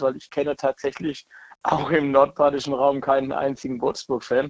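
The man's voice sits at a fairly high pitch. He talks at a moderate pace. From southern Germany, near Heidelberg. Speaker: football fan. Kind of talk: interview.

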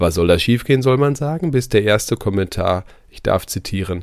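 In a very clean recording with a silent background, a man at a medium pitch makes very wide pitch swings. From East Westphalia, Germany. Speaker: podcast host. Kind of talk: news commentary; interview.

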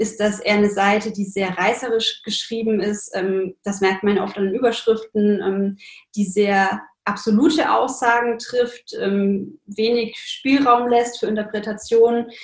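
Fairly even intonation marks this woman's fairly high voice. She sounds somewhat breathy. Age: 20s. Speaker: nutrition science student and blogger. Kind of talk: casual interview.

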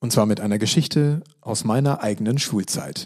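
This man talks at a moderate pace. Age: 30s. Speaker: educational trainer and podcast host. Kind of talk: podcast monologue. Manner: plain conversational.

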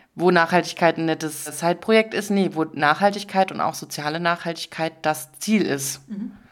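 A woman with an unremarkable speaking voice and a fairly low pitch talks at a moderate pace with ordinary pitch variation and hardly any pauses. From Dresden, Saxony, eastern Germany. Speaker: social business representative. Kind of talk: interview. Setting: in person studio.

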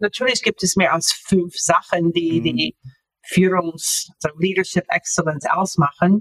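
A woman's medium-pitched voice in an American accent, fairly slow, with ordinary pitch variation and a dry, close sound with no echo. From US, Florida. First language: English (speaking German). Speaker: author. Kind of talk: interview. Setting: video call. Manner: halting.

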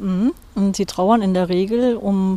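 This is a woman with a medium pitch and ordinary pitch variation. She has an ordinary speaking voice. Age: 60s. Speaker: hospice grief counselor. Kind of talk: interview. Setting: outdoors on a cemetery bench.

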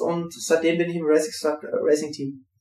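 Fairly slowly, a man delivers his words in a high register. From Siegerland, North Rhine-Westphalia, Germany. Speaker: professional triathlete. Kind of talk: interview.

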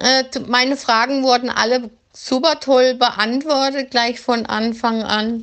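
A woman's high-pitched, monotone voice at a very slow pace, with flat intonation and very even loudness. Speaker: dog training student. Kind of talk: recorded voice message.

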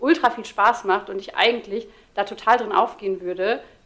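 With an ordinary speaking voice, a woman speaks at a fairly high pitch and with fairly even intonation. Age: 30s. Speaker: social media creator on ADHD. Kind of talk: casual chat.

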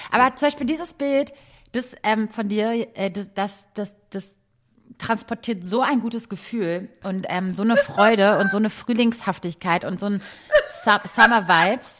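A woman speaks at a medium pitch. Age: 30s. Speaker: podcast host. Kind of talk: casual chat. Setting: video call.

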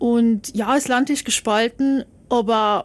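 Her intonation fairly even, a woman speaks with a fairly high pitch. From South Tyrol, Italy. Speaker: TV journalist. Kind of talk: casual interview. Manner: hesitant, many fillers.

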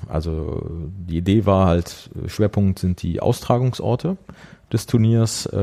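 A man speaks with a very deep, low pitch and a dark, mellow tone, using ordinary pitch variation. The recording is very clean with a silent background. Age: 40s. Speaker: journalist and football fan activist. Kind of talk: interview conversation. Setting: at the guest's place.

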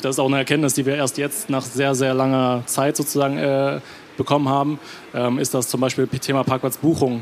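This man's voice sits at a medium pitch, moving at a moderate pace with fairly even intonation. Noticeable background noise runs under it. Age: 20s. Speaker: startup co-founder. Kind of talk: stage interview. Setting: stage with audience.

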